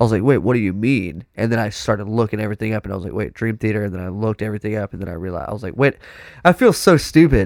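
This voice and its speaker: A very fast, animated man with an American accent, fairly low pitch and ordinary pitch variation, in a dry, close sound with no echo. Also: big swings in loudness, very clean recording, silent background. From Texas. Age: 20s. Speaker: professional drummer. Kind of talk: casual chat. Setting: studio.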